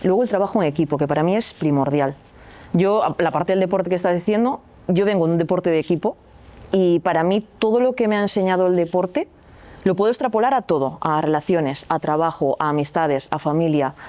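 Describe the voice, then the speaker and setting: A woman with a slight Galician accent talks fairly quickly in a fairly low pitch with a dark, mellow tone, lively intonation and very even loudness. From Galicia, Spain. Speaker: athlete and sports coach. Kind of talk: podcast interview. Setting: recording venue.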